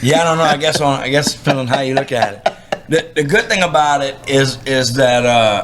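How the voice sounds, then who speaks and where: A fairly high-pitched man's voice in a Louisiana accent, at a fairly quick pace with ordinary pitch variation, over noticeable background noise. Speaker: professional bass angler. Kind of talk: casual interview. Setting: writer's conference.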